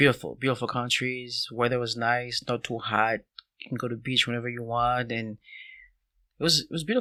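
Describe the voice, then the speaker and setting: Speaking with a Haitian accent over a quiet background, a man uses a bright, sharp tone at medium pitch, keeping a fairly quick pace and monotone, flat intonation. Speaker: soccer coach. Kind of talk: casual interview.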